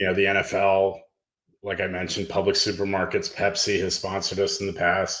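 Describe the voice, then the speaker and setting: Here a man with a Pennsylvania accent speaks at a moderate pace and fairly low pitch. The recording is very clean, with a silent background. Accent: American (Pennsylvania). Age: 60s. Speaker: nonprofit co-founder. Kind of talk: podcast interview.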